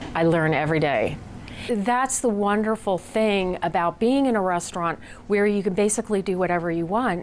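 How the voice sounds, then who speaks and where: A woman with an American accent and a normal speaking voice, medium in pitch, with lively intonation and a fairly slow pace. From United States. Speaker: restaurant chef. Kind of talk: interview.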